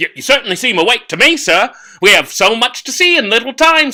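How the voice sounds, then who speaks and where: A woman's put-on character voice, high-pitched and fairly quick. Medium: read story. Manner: polite, airy.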